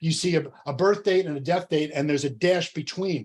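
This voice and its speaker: Here a man speaks with a high voice. The pitch moves with ordinary variation. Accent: New Jersey. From New Jersey. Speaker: entrepreneur and coach. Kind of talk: workshop presentation. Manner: fast.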